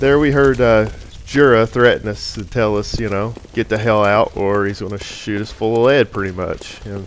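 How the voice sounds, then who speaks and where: With an American accent, a man talks at a moderate pace in a medium pitch and fairly even intonation. Noticeable background noise runs underneath. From US South. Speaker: gaming commentator. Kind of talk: gameplay commentary. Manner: casual, relaxed.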